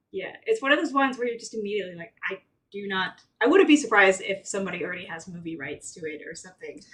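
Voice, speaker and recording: Very fast and animated, a woman at a medium pitch speaks with lively intonation and big swings in loudness. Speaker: true crime podcast co-host. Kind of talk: casual chat. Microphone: far from the mic.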